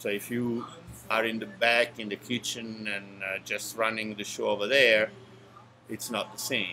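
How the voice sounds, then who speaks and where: Someone with an Italian accent talks at a moderate pace with monotone, flat intonation. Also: man, medium pitch for a man. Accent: natural Italian. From Italy, Naples area. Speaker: restaurant owner. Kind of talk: casual interview. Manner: halting, many fillers.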